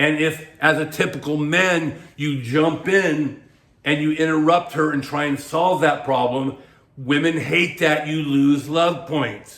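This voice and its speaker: A man with a plain, everyday voice, fairly high pitch, fairly even intonation and a fairly slow pace. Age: 60s. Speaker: dating coach and author. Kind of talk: advice monologue to camera. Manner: casual, conversational with filler words.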